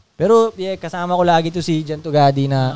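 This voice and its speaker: In an animated tone, a man speaks at a fairly high pitch. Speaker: podcast host. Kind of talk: casual chat.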